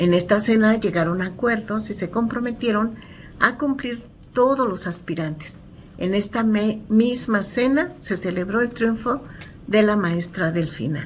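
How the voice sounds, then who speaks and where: Her voice is somewhat breathy and fairly high for a woman. She speaks at a fairly slow pace with ordinary pitch variation. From Mexico City (Iztacalco). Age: 60s. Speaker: community activist. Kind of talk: book commentary.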